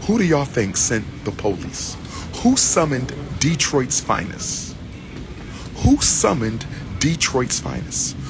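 The speech moves at a fairly slow pace. Music plays in the background, and the sound is dry with no echo. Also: man. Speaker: commentator traveling. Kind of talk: casual vlog chat. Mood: indignant, mocking. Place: station. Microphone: phone near.

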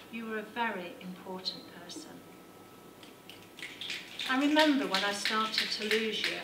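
Over noticeable background noise, a woman speaks at a fairly slow pace with lively intonation. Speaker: poet. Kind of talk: poetry slam performance. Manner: serious, emotional. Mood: tender, sorrowful. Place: hall. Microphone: handheld.

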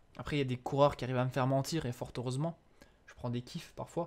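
A man with a fairly high pitch speaks in an animated tone on a very clean recording with a silent background. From eastern France (Franche-Comté). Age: 20s. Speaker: gaming streamer. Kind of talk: live gameplay commentary with chat. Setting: live stream. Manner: animated, hesitant.

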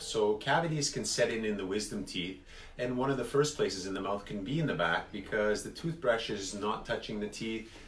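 Fairly slow speech from a man, room echo audible. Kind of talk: explanatory talk to viewers. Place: office. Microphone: phone near.

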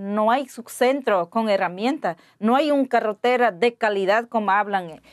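A woman with an Ecuadorian accent talks at a very slow pace, fairly high in pitch with ordinary variation. The background is quiet. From Ecuadorian Amazon, Pastaza. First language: Waorani (speaking Spanish). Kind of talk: interview; interview answer. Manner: halting. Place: studio. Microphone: lapel.

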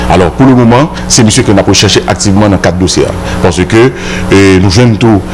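Amid noticeable background noise, a man with a fairly low pitch speaks in very wide pitch swings. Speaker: police spokesperson. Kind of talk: press briefing statement. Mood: serious, official. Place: office. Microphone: handheld.

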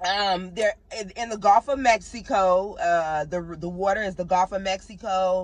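The delivery comes at a fairly slow pace in a dry sound with no echo. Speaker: travel vlogger. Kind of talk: casual vlog chat. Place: car. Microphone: phone near.

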